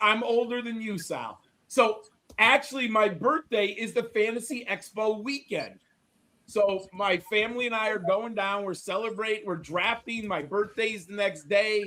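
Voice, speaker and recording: This man speaks at a moderate pace in a raised, projected voice. His pitch is high, with ordinary variation. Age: 50s. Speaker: fantasy football analyst. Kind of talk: casual chat.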